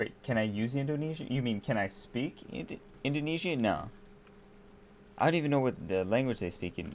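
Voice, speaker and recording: A man with an American accent speaks at a medium pitch and moderate pace. His pitch swings very widely. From United States. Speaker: gaming streamer. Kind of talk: casual live-stream chat. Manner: relaxed, chatty.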